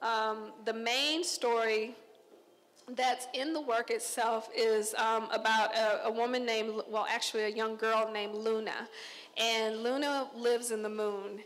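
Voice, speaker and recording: A woman with an American accent speaks at a fairly high pitch and a fairly slow pace, in a monotone, flat intonation. Light background noise can be heard. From Texas, Conroe; Texas. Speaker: visual artist. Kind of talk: artist talk to an audience. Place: hall. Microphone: handheld.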